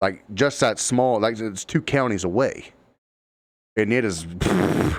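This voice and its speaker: Slowly and with an Appalachian accent, a man talks at a fairly low pitch with ordinary pitch variation. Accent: Appalachian Ohio. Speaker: podcast host. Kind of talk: casual chat.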